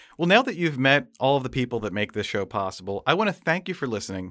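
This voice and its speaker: Talking at a very fast pace, a man has a medium pitch with very wide pitch swings. The recording is very clean, with a silent background. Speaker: podcast host. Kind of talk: interview. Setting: studio.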